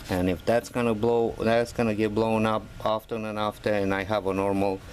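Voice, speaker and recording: A man with a fairly low pitch is heard over noticeable background noise. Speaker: DIY car hobbyist. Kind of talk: tutorial. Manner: casual, hesitant with many fillers.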